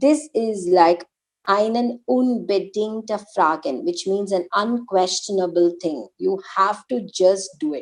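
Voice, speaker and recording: Speaking very slowly with an Indian accent, a woman at medium pitch uses lively intonation. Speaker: German language teacher. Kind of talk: online language lesson.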